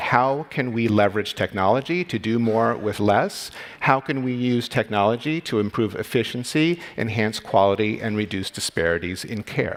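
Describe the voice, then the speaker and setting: In an American accent, a man talks at a moderate pace with hardly any pauses, medium pitch, ordinary pitch variation and an ordinary speaking voice. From United States. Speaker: radiologist and medical executive. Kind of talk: conference talk. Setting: stage with audience.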